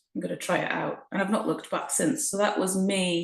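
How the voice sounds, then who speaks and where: Somewhat breathy, a woman speaks at a medium pitch and moderate pace. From Shetland, Scotland (born Essex). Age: 40s. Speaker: mother and programme member, former personal trainer. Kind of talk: interview. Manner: hesitant, many fillers.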